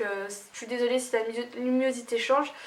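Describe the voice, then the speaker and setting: A woman with a Lorraine accent speaks at a high pitch. Her intonation is fairly even, with noticeable background noise. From Lorraine, France. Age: 20s. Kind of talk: casual talk to camera.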